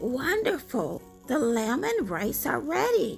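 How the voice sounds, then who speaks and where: A high-pitched put-on character voice at a fairly slow pace, with clear music in the background. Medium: read story. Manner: gentle, soft-spoken.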